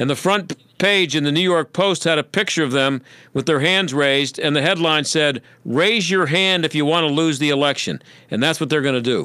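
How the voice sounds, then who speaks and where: With a bright, sharp tone and ordinary pitch variation, a man speaks at very even loudness in dry sound with no echo against a quiet background. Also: fairly quick pace. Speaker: radio talk show host. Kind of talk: talk radio monologue and interview. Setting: radio studio. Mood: sarcastic, opinionated. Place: studio. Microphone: studio mic.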